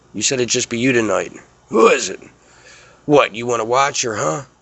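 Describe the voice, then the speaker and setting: Using a put-on character voice, a man speaks in a raspy medium pitch at a fairly quick pace. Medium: cartoon. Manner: rough, coarse.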